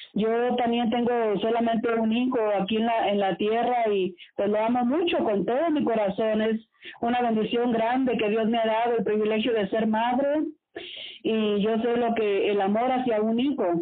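With a normal speaking voice, a woman speaks at a fairly high pitch and moderate pace, with ordinary pitch variation and very even loudness. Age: 40s. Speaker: radio host. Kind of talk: casual chat.

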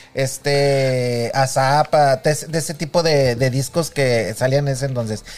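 A man's plain, everyday voice, fairly high in pitch, at a fairly slow pace. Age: 50s. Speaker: podcast co-host. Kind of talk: casual chat.

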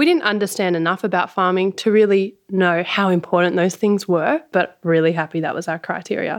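A woman's medium-pitched voice with an Australian accent, fairly quick in pace and ordinary in pitch variation, over a quiet background. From Sydney, Australia. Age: 30s. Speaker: organic garlic farmer. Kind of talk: interview, casual conversation.

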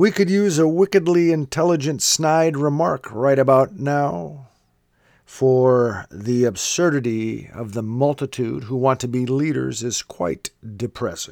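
In an ordinary speaking voice, a man talks at medium pitch and a fairly slow pace with lively intonation. The recording is very clean and dry, close with no echo, over a silent background. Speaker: podcast host. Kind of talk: casual interview.

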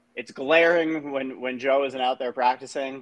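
A man talks at a medium pitch and a fairly slow pace with fairly even intonation. It is a normal speaking voice. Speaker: sports TV host. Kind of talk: casual podcast interview.

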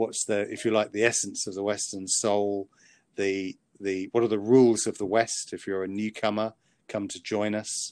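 A man's fairly low, monotone, flat voice with a British accent at a moderate pace, over a quiet background. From Britain. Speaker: author and psychiatrist. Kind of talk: interview. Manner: halting.

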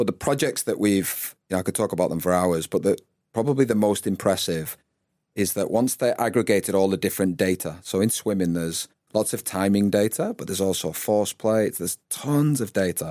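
Dry and close with no echo on a very clean recording with a silent background, a man with a northern English accent talks at a fairly quick pace in a fairly low, dark, mellow voice with ordinary pitch variation. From Northwest England. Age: 40s. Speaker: former rugby player and performance coach. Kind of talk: interview conversation.

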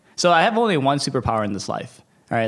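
A man with an American accent speaks in a normal speaking voice at a fairly quick pace and medium pitch, on a very clean recording with a silent background. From US Midwest, Detroit, Michigan. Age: 30s. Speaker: venture capitalist. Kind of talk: casual interview. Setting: office.

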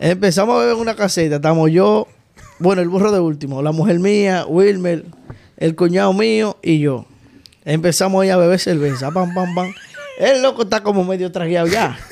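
With a Dominican accent, a man speaks at a high pitch with lively intonation and a moderate pace. Noticeable background noise is present. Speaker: podcast co-host. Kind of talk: casual chat.

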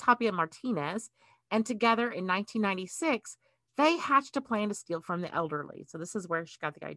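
In an American accent, a woman with a bright, sharp tone and fairly high pitch talks at a fairly quick pace with very wide pitch swings, recorded dry and close with no echo. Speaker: podcast host. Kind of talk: casual chat.

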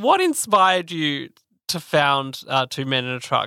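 Speaking at a fairly slow pace, a man with an Australian accent has a fairly high pitch and a bright, sharp tone. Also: very clean recording, silent background. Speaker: podcast co-host. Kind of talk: interview.

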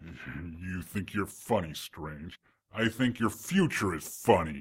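A man growls in a put-on character voice with a very deep, low pitch. The recording is very clean, with a silent background. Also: fairly slow pace. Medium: audio drama. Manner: menacing, gloating.

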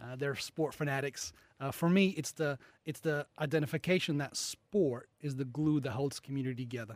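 A man's fairly high voice with a slight American accent, moderate pace and ordinary pitch variation, in a dry, close, echo-free recording with a silent, very clean background. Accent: slight American twang. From US Midwest, Chicago. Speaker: sportswear businessman. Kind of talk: casual interview.

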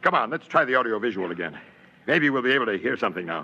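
A man puts on a character voice at a medium pitch, with big pitch swings and a fast pace. His tone is bright and sharp, with a slightly husky edge.

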